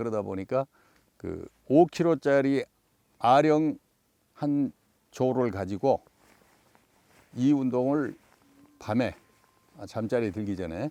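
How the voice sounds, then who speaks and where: Speaking at a very slow pace with long, frequent pauses, a man has a dark, mellow tone, lively intonation and big swings in loudness, in a dry, close sound with no echo. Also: medium pitch for a man. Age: 70s. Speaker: fishing TV show host. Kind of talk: interview. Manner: conversational with fillers.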